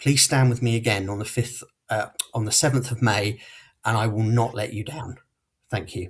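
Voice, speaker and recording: Pausing long and often, a man speaks with fairly even intonation in a somewhat breathy voice. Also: medium pitch for a man, moderate pace. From Portsmouth, southern England. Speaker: local election candidate. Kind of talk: campaign closing speech.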